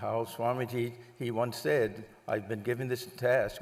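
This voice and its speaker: With an American accent, a man speaks at a medium pitch with vocal fry. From US Northeast, Long Island area. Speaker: monk giving a talk. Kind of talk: lecture.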